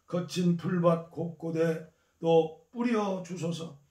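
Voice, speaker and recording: This man's voice has a dark, mellow tone and sits at a high pitch. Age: 70s. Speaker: pastor. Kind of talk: scripture reading.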